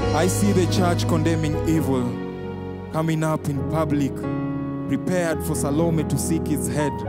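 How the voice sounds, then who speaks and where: Loud music plays behind a man who speaks at a fairly slow pace in a dry sound with no echo. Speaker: spoken word artist. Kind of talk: spoken word performance. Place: stage. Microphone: handheld.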